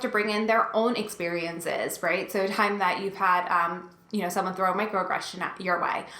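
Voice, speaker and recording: A woman at a fairly quick pace with fairly even intonation, amid noticeable background noise and audible room echo. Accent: American. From New Jersey. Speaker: instructional design coach. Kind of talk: tutorial. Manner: fast; sometimes mumbles.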